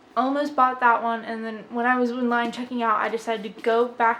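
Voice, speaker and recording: A woman with a high pitch speaks with fairly even intonation against noticeable background noise. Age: 20s. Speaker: book podcaster. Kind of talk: casual chat. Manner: fast.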